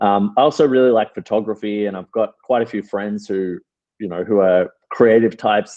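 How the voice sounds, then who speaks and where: Very rapid talk from a man with a rather low pitch and fairly level intonation. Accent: Australian. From Australia. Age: 30s. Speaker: calisthenics athlete and coach. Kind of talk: interview.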